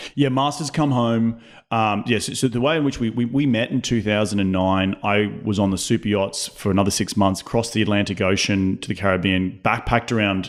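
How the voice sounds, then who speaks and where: A man with an Australian accent, fairly low in pitch, at a fairly quick pace with hardly any pauses and ordinary pitch variation. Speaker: real estate investor. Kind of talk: casual interview chat. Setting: home studio.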